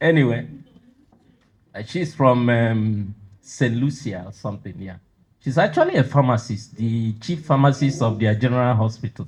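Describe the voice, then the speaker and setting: A somewhat breathy man at medium pitch and a moderate pace, with ordinary pitch variation and big swings in loudness. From Nigeria, southeast. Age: old. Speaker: university president, professor. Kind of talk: lecture.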